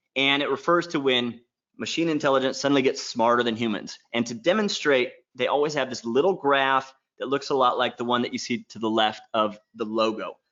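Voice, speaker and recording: A man talks at a fairly quick pace, his pitch sitting in the medium range. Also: ordinary pitch variation. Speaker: online marketing workshop presenter. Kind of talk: sales pitch. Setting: live webinar. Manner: fast; animated.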